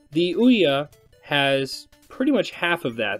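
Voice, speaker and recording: A quiet man at a fairly slow pace, with music in the background. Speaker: gaming video host. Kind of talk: casual commentary to camera.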